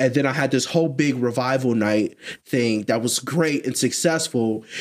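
Here a man talks at a medium pitch in an ordinary speaking voice. His pitch variation is ordinary. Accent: American. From Columbus, Ohio. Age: young adult. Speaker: podcast co-host. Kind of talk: casual chat.

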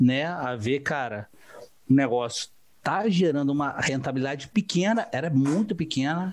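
Speaking at a moderate pace in a Rio de Janeiro accent, a man with a fairly high pitch uses lively intonation, recorded very cleanly over a silent background. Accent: Carioca Brazilian Portuguese. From Rio de Janeiro, Brazil. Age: 30s. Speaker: entrepreneur, civil engineer turned online seller. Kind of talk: interview, casual chat.

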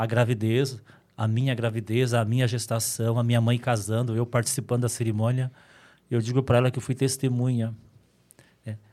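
In a very clean recording with a silent background, a man speaks at medium pitch in a calm, dark, mellow tone. His intonation is monotone and flat, with long, frequent pauses. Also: moderate pace. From northern Minas Gerais, Brazil. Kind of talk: interview conversation.

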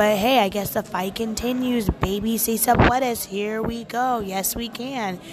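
This is a woman speaking. There is noticeable background noise behind her. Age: 30s. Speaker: podcaster, former nanny. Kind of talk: casual monologue. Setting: restaurant, outdoors.

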